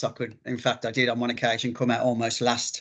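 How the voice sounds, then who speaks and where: A man talks with a Birmingham accent. He goes at a fairly quick pace. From English Midlands, Birmingham. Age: 50s. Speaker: ultramarathon runner. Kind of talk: interview. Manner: halting, many fillers.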